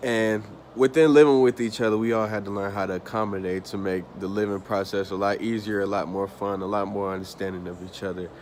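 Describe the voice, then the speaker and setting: Very fast speech with an American accent, fairly even intonation, and hardly any pauses. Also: man, fairly low pitch for a man. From US South (Atlanta, Georgia). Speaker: student. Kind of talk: class presentation. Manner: casual, with fillers.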